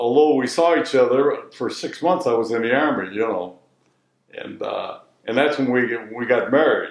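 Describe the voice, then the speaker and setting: In a Midwestern accent, a man talks at a medium pitch with ordinary pitch variation. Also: moderate pace. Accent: American Midwest. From Detroit, Michigan. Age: 80s+. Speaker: retired bleach business owner. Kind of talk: interview answer.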